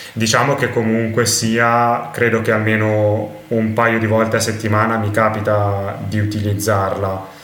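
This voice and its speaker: A man's fairly low, monotone voice at a fairly slow pace with very even loudness and hardly any pauses, with audible room echo and noticeable background noise. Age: 20s. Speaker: polyglot and language teacher. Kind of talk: interview conversation.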